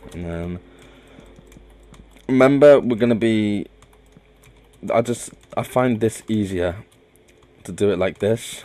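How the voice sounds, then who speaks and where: A man mumbles at a fairly slow pace and fairly low pitch, with long, frequent pauses. His loudness swings widely. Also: ordinary pitch variation. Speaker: gaming video creator. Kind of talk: gameplay commentary. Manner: mumbling; halting, many fillers and restarts.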